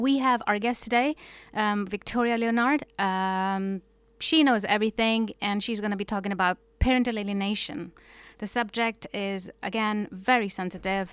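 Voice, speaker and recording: Fairly high in pitch, a woman talks at a moderate pace with ordinary pitch variation. The recording is very clean, with a silent background. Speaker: radio host. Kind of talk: radio show talk. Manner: hesitant, many fillers.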